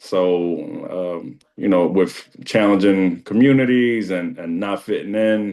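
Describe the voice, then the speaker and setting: The man speaking has a very deep, low pitch. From New York City, Dominican background. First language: Spanish. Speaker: school district administrator. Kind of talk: interview testimony.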